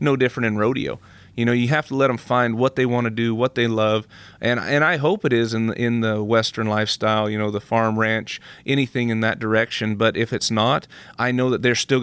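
A man talks at a fairly quick pace and a medium pitch, with fairly even intonation. His is a plain, everyday voice. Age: 30s. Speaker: professional rodeo athlete. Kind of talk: interview.

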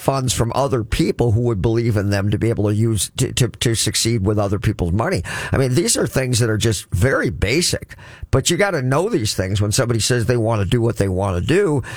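At a fairly quick pace, a man speaks at a medium pitch with lively intonation, an animated tone and very even loudness. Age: 60s. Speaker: financial coach and radio host. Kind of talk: radio talk show monologue. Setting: radio studio.

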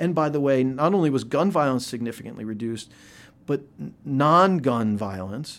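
Recorded very cleanly against a silent background, a man with an American accent uses a plain, everyday voice at medium pitch with lively intonation. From Philadelphia. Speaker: epidemiologist. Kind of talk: interview. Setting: office.

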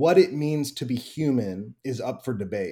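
A man speaks with a Midwestern American accent and a dark, mellow tone. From US Midwest, Wheaton, Illinois. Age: 30s. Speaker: pastor. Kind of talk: casual interview.

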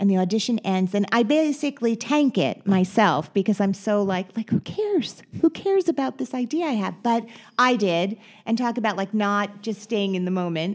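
A woman with an American accent speaks at a medium pitch and a moderate pace. She has an ordinary speaking voice and lively intonation. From New Jersey, Teaneck. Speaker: actress and podcast host. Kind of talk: interview.

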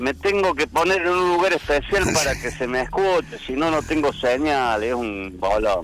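A man's fairly high voice with very wide pitch swings, a moderate pace, and noticeable background noise. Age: 60s. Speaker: comedian and Malvinas war veteran. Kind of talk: casual chat.

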